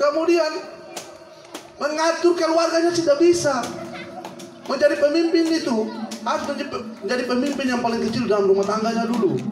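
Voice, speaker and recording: A man with an Ambonese accent and an extremely high pitch speaks in an animated tone at a fairly quick pace, with ordinary pitch variation and long, frequent pauses. Music plays in the background, and room echo is audible. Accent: Ambonese Malay-accented Indonesian. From Maluku, eastern Indonesia. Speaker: regional head campaigning for candidates. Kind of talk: campaign speech.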